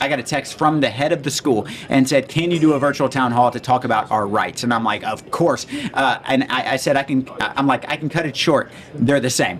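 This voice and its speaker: A man talks at a fairly quick pace in an animated tone. Noticeable background noise can be heard. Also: medium pitch for a man. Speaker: state legislator and podcast host. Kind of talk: casual interview chat. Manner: fast.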